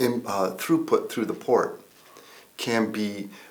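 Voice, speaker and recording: Audible room echo on a man's fairly slow speech. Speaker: environmental consultant. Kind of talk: interview. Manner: halting, many fillers.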